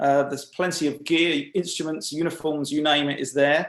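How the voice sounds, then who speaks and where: Speaking at a moderate pace, a man has a fairly high pitch. He talks in an English accent. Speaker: webinar host. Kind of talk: webinar introduction and announcements. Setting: video call. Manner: hesitant, many uh fillers.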